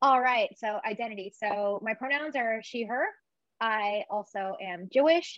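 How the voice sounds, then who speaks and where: With a plain, everyday voice, a woman speaks at a fairly high pitch and a fairly slow pace, with ordinary pitch variation. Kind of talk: casual interview chat.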